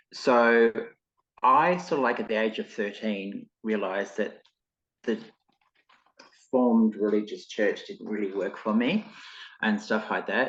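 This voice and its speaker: A man with an Australian accent at a moderate pace, broken by long, frequent pauses. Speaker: clairvoyant and spiritual teacher. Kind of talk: interview podcast. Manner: casual, hesitant fillers.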